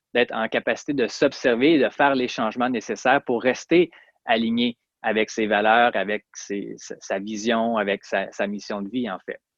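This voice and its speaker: In a Quebec accent, a man talks at a moderate pace and medium pitch with ordinary pitch variation. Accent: Québécois French. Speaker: chiropractor and personal development podcaster. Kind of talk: interview. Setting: remote interview from Montreal.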